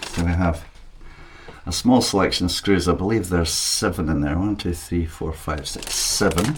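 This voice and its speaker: With a Scottish accent, a man talks at a moderate pace in a very deep, low pitch with ordinary pitch variation. Audible room echo and noticeable background noise fill the recording. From Scotland. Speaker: 3D printing hobbyist youtuber. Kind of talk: unboxing tutorial. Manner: casual.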